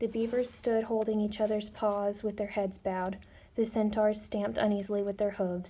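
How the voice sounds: Simply a natural reading voice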